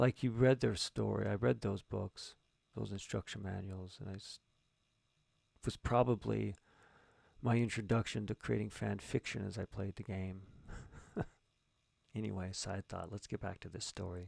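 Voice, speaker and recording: A man speaks at a moderate pace with vocal fry, fairly low pitch, ordinary pitch variation, big swings in loudness and long, frequent pauses. The recording is very clean with a silent background and a dry, close sound with no echo. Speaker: writer and streamer. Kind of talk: live-streamed writing session, thinking aloud. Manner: halting, thinking aloud; mumbling.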